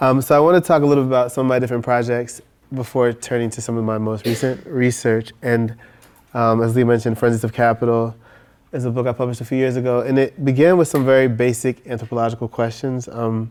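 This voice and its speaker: Soft-spoken and at a very fast pace, a man talks in a medium pitch with fairly even intonation. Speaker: professor. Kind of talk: lecture.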